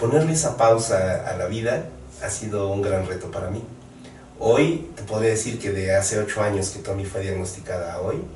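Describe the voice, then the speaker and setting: Over noticeable background noise and audible room echo, a man speaks at a fairly low pitch with ordinary pitch variation. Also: moderate pace. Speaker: photographer. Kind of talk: interview. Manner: halting.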